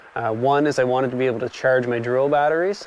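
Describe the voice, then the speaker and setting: A man speaks with fairly even intonation in a dry, echo-free recording with light background noise. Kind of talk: tutorial. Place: open country.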